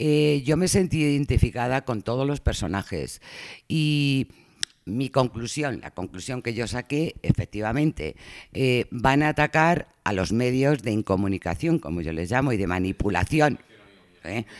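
At a fairly slow pace, a man speaks in a plain, everyday voice at a medium pitch with lively intonation. The sound is dry and close with no echo, in a very clean recording with a silent background. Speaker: audience member. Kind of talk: panel talk.

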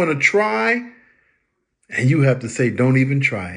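A somewhat breathy man speaks at a fairly slow pace. The background is quiet. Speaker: preacher. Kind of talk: short sermon-style encouragement. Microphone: phone near.

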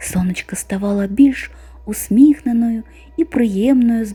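A natural reading voice, its pitch moving in an ordinary way

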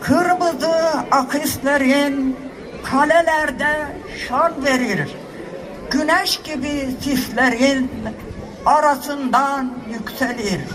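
Over noticeable background noise, a woman talks at a very slow pace in a high pitch, with ordinary pitch variation and long, frequent pauses. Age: 80s+. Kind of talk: poetry reading. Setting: public ceremony at a podium.

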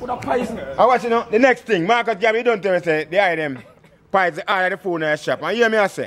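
Speaking very fast in a Jamaican accent, a man uses a high pitch with ordinary pitch variation. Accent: Jamaican Patois. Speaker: Rastafarian speaker; speaker. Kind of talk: impassioned speech. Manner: animated, laughing often. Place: street. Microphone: phone near.

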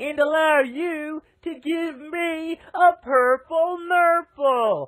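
This put-on character voice has an extremely high pitch. It is loud. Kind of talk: cheesy TV commercial. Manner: loud, manic, overexcited.

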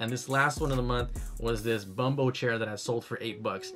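A man speaks at a moderate pace while faint music plays in the background. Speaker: reseller vlogger. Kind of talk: casual vlog chat. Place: home room. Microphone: studio mic.

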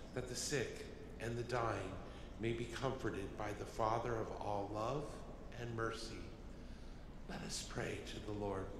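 Someone speaks at a fairly slow pace with long, frequent pauses. Audible room echo and noticeable background noise surround the voice. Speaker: deacon or cantor, gospel reader. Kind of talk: liturgical responses and gospel reading. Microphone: podium.

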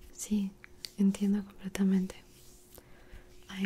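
A woman speaks softly in a gentle, dark, mellow tone. Her voice is somewhat breathy. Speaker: ASMR creator. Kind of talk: soft-spoken ASMR roleplay and bedtime story. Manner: soft-spoken, gentle, close ASMR voice. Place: home room. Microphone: studio mic.

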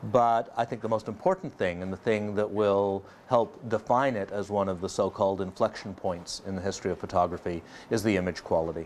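An ordinary speaking voice belongs to a man with a fairly low pitch and fairly even intonation. He goes at a fairly quick pace over light background noise. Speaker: photography reviewer. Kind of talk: presenter commentary. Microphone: lapel.

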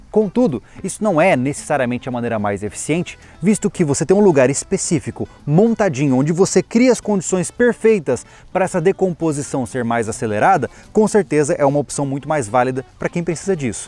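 Faint music plays in the background. Over it, a man's voice sounds dry with no echo. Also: fairly quick pace. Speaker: channel host. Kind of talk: tutorial. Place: open country.

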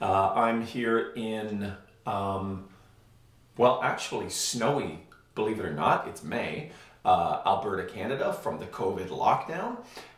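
A man talks at a fairly slow pace. Audible room echo surrounds him against a quiet background. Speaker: cello teacher. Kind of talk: tutorial. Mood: relaxed, friendly. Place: home room. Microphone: camera far.

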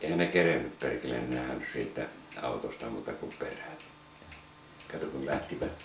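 A man speaks at a very deep, low pitch and a moderate pace, with ordinary pitch variation. He takes long, frequent pauses over noticeable background noise. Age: 70s. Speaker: war veteran. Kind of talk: casual chat; reminiscing storytelling. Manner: halting. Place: home room.

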